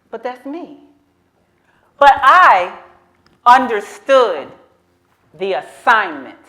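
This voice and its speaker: Audible room echo surrounds a woman's high-pitched voice, bright and sharp in tone, with very wide pitch swings. She speaks at a very slow pace with long, frequent pauses. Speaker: storyteller. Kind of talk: live storytelling. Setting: stage with audience. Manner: animated.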